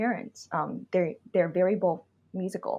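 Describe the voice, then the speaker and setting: A somewhat breathy woman at a medium pitch and moderate pace, with a quiet background. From Vietnam, Saigon. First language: Vietnamese. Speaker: vocalist and MC. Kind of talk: podcast interview. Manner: hesitant, many fillers.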